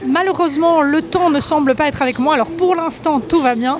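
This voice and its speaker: A woman talks at a fairly quick pace with ordinary pitch variation. Noticeable background noise is present. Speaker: travel vlogger. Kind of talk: travel vlog narration.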